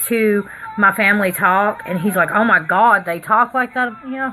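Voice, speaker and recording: A woman with a Tennessee accent talks over noticeable background noise. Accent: Southern US accent, Tennessee. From Pennsylvania. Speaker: makeup artist vlogger. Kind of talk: casual livestream chat while doing makeup. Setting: live stream at home.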